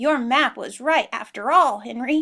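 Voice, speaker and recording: A woman uses a put-on character voice, pitched high. She talks at a moderate pace. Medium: read story.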